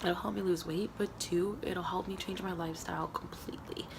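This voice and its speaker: Fairly low-pitched female speech, fairly even in intonation, with audible room echo. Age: 20s. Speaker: vlogger. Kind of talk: personal video diary. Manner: hesitant, many fillers.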